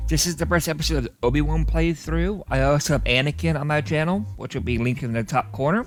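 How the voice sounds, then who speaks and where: With music behind him, a man talks at a very fast pace, hardly pausing at all. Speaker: gaming youtuber. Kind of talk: gameplay commentary.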